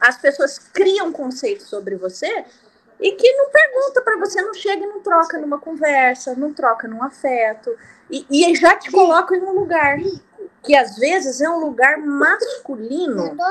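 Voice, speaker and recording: A woman talks at a fairly slow pace in an extremely high pitch, with very wide pitch swings. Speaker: music teacher and band conductor. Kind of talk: group discussion in a reading club.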